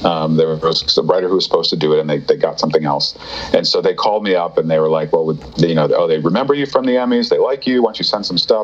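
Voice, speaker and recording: Talking very fast with hardly any pauses, a man is heard against noticeable background noise. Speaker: TV writer and voice actor. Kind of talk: interview. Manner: halting.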